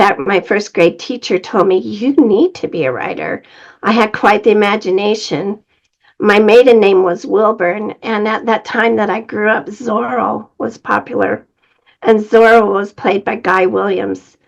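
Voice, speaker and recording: A woman with an American accent talks at a fairly slow pace. Her pitch varies in an ordinary way, and vocal fry runs through her voice. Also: medium pitch for a woman. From Utah. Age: 70s. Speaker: author. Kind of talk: interview.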